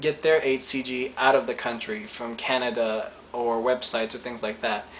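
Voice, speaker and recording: A man speaks at a fairly slow pace with ordinary pitch variation. Noticeable background noise is present. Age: 20s. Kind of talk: casual talk to camera.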